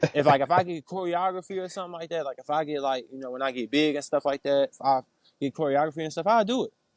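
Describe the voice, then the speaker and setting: Speaking at a very fast pace, a man's voice sits fairly high, with ordinary pitch variation and big swings in loudness. The sound is dry and close, with no echo. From Chicago. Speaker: R&B singer. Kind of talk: casual interview.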